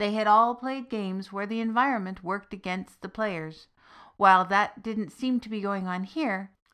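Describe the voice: Text read aloud in a plain way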